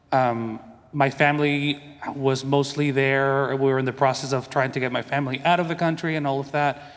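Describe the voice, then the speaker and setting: A man with a Spanish accent, fairly high in pitch, at a moderate pace, in a monotone, flat delivery. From Venezuela. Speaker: composer. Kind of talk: conference panel talk.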